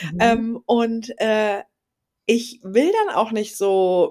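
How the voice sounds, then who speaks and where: A very clean recording with a silent background, carrying a woman's fairly high voice. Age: 30s. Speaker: podcast co-host and yoga teacher. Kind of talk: casual chat.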